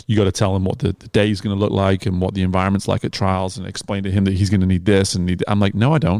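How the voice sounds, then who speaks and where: Speaking very fast with fairly even intonation, a man with a British accent has a fairly low pitch, recorded very cleanly against a silent background with a dry, close sound and no echo. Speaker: swim coach and podcast host. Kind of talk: casual interview conversation. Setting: in person at a cafe.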